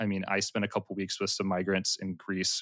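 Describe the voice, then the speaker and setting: A man with an American accent talks at a fairly quick pace in a very clean recording with a silent background and a dry, close sound with no echo. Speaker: podcast host and peacemaking worker. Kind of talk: panel discussion. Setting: podcast recording.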